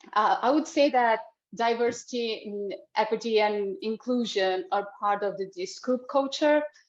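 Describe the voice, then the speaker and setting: The woman's voice is high in pitch with lively intonation. She speaks at a fairly slow pace. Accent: non-native. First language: not English. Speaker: print industry community manager. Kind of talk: online panel discussion.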